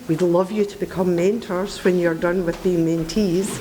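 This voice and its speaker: Through audible room echo and noticeable background noise, a woman talks with a Scottish accent. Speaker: mentoring volunteer. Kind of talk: speech to audience. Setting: event hall with audience.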